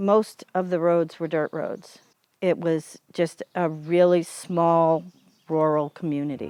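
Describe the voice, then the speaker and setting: Speaking very slowly with an American accent, a woman with a fairly low pitch keeps a monotone, flat intonation as music plays in the background. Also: dry, close sound with no echo. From US Northeast, Cape Cod, Massachusetts. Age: 60s. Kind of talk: interview.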